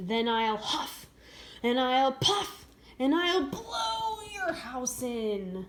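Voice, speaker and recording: A female-sounding, put-on character voice speaks at a very slow pace with a high pitch. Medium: read story. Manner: sly, wheedling.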